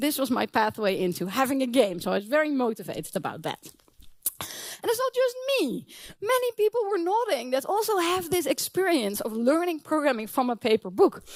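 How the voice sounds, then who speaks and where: In a non-native accent, the talking moves at a fairly quick pace. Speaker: professor. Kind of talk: conference talk.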